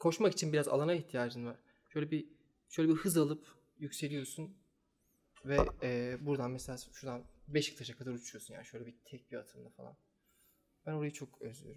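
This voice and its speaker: Fairly high-pitched and fairly quick, a man talks with ordinary pitch variation, long, frequent pauses and big swings in loudness. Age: 30s. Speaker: guest. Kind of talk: casual chat.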